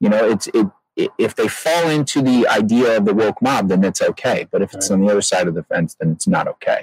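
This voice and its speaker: A man talks at a fairly quick pace, the sound dry and close with no echo. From Detroit, Michigan. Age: 40s. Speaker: comedian and actor. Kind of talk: casual chat. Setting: outdoors in a backyard garden.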